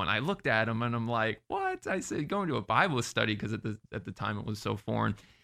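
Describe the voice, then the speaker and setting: At a fairly quick pace, a man with an American accent speaks at medium pitch with vocal fry. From Florida. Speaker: entertainer and podcaster. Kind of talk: interview.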